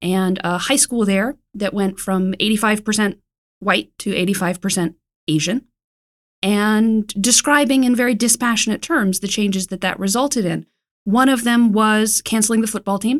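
A woman with a plain, everyday voice speaks at a moderate pace, with fairly high pitch and ordinary pitch variation. The recording is very clean, with a silent background and a dry, close sound with no echo. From US South, Raleigh, North Carolina. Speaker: magazine editor. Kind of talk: interview. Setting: studio.

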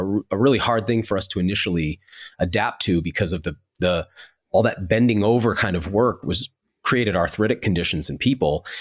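Ordinary pitch variation and a fairly quick pace in a normal speaking voice, captured on a very clean recording against a silent background. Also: man. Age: 40s. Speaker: TV host and podcaster. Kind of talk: casual chat.

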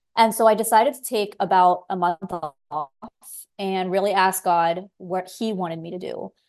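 Over a quiet background, a woman with an American accent speaks at medium pitch in a plain, everyday voice. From South Florida. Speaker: podcast host, physician assistant. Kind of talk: interview, faith conversation.

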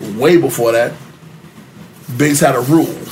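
Amid noticeable background noise and audible room echo, a man with a New York accent talks at a fairly high pitch with ordinary pitch variation. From New York City, Upper West Side. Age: 40s. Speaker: former record label member. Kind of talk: casual interview chat.

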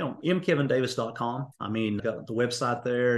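A man speaks with an Appalachian accent. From eastern Kentucky. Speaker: executive coach and speaker. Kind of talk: interview.

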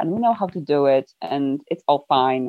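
A woman speaks with a Polish accent. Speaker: environmental campaigner. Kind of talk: casual interview chat.

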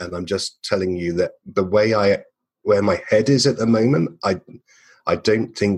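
A man's fairly low-pitched voice with ordinary pitch variation. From England. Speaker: marketer and podcast creator. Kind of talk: interview conversation.

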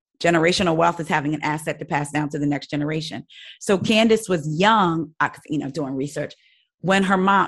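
In an unremarkable speaking voice with an American accent, a woman talks at a fairly quick pace and fairly low pitch, with ordinary pitch variation and a quiet background. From New Jersey. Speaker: podcast host, guest. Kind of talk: casual chat.

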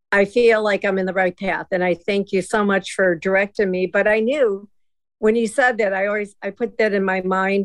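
A woman has an unremarkable speaking voice at medium pitch. She speaks at a moderate pace with fairly even intonation. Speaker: caller. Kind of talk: casual chat.

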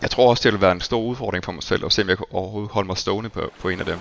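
A man's voice shows ordinary pitch variation, with noticeable background noise underneath. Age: 40s. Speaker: tech company employee. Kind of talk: interview. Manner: halting.

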